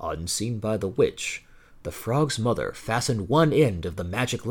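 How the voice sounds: The clip has a natural reading voice. Nothing else stands out.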